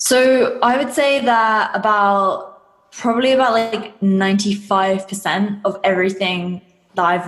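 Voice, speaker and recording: Against noticeable background noise, a woman with an English accent speaks with ordinary pitch variation. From England. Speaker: fitness coach and business mentor. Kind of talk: interview.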